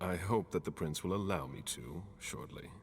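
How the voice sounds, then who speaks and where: A man uses a put-on character voice with a very deep, low pitch. He keeps a moderate pace over clear background noise. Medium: video game. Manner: terse, dry.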